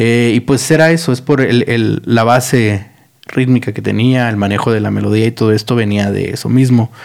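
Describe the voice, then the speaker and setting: A man with an unremarkable speaking voice talks at a moderate pace, medium in pitch, with fairly even intonation. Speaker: podcast host. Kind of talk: casual monologue. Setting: studio.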